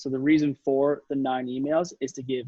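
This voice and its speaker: Pitched fairly high, a man speaks at a fairly quick clip. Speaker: sales and marketing presenter. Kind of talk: workshop presentation. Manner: fast.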